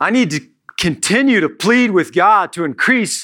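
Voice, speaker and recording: A man with an American accent projects a raised voice with a bright, sharp tone and lively intonation on a very clean recording with a silent background. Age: 40s. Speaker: pastor. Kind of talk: sermon. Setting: church.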